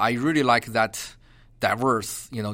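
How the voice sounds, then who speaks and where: This man talks at a medium pitch and a moderate pace, with a bright, sharp tone and a Chinese accent. His intonation is fairly even, and the recording is very clean with a silent background. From China, Beijing. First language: Mandarin Chinese. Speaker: geography professor. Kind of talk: interview. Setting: university campus. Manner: halting.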